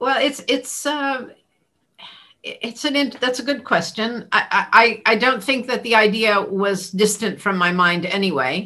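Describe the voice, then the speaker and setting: Speaking slowly and with lively intonation, a woman with an American accent has a bright, sharp tone and a fairly high pitch. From California. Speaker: rabbi and academic. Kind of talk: interview. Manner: halting, many fillers and repeats.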